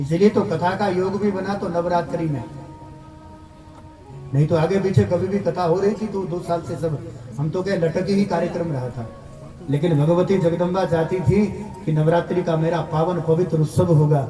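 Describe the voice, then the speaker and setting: Music plays in the background as a man with a high pitch talks at a moderate pace with ordinary pitch variation. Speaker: religious discourse speaker. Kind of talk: religious sermon to live audience.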